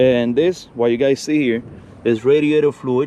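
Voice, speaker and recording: There is noticeable background noise as a man speaks at a moderate pace. His medium-pitched voice keeps a fairly even intonation. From Cuba. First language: Spanish. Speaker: classic car YouTuber. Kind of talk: casual vlog walkthrough. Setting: outdoors.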